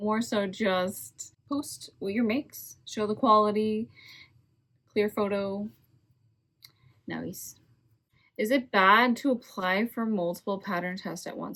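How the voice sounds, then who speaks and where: Her tone bright and sharp, a woman talks at a very slow pace with long, frequent pauses. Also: medium pitch for a woman, ordinary pitch variation. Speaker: crochet designer and video creator. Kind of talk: casual tutorial chat. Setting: quiet home at night, kids asleep.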